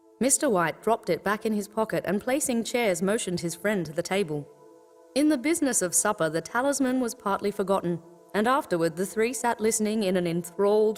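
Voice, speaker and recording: A woman at a fairly quick pace with lively intonation, music in the background. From Sydney, Australia. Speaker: voice actor. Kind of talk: audiobook narration.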